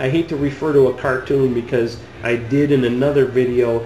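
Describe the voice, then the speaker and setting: A man speaks while clearly audible noise fills the background. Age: 50s. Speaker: video blogger. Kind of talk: opinion rant. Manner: animated.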